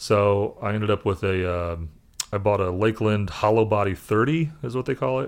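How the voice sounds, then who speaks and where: In an American accent, a man talks at a moderate pace with ordinary pitch variation and fairly low pitch, in an unremarkable speaking voice. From Indianapolis, US Midwest. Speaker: session bass player. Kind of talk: casual chat.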